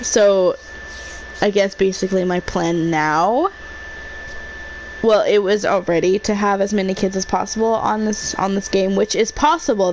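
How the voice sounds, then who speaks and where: A woman at a medium pitch, her pitch varying in an ordinary way, keeps a moderate pace despite noticeable background noise. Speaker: gaming streamer. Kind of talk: live gameplay commentary. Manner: quiet, soft-spoken at times; hesitant, many fillers.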